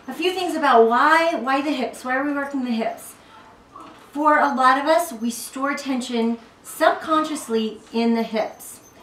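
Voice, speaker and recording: With a high voice and ordinary pitch variation, a woman speaks at a fairly slow pace, leaving long, frequent pauses amid audible room echo. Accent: American. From US South, South Carolina. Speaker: fitness instructor. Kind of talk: tutorial. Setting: at home, family room. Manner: casual, chatty. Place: home room. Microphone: camera far.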